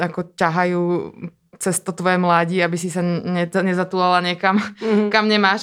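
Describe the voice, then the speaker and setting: The recording is very clean with a silent background. A woman talks at a fairly quick pace in a medium pitch, with monotone, flat intonation. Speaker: dancer and performer. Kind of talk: interview conversation.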